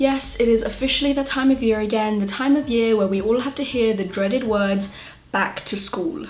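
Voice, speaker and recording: Light background noise sits behind the speech. A woman talks at a moderate pace, her pitch varying in an ordinary way. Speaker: beauty vlogger. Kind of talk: casual vlog chat. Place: home room.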